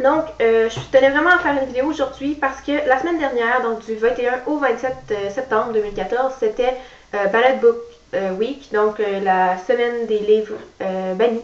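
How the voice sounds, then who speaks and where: The pace is moderate and the pitch varies in an ordinary way, while noticeable noise sits in the background. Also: woman, high pitch for a woman. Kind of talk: casual talk to camera.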